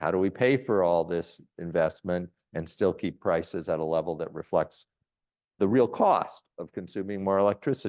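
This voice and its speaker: A man with a fairly low voice and ordinary pitch variation talks at a moderate pace in a plain, everyday voice against a quiet background. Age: 60s. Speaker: economist, visiting scholar. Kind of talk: Q&A after a lecture.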